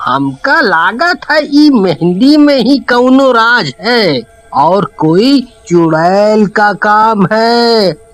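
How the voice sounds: In a cartoonish character voice, a man speaks very slowly at a high pitch, swinging widely in pitch while his loudness stays very even.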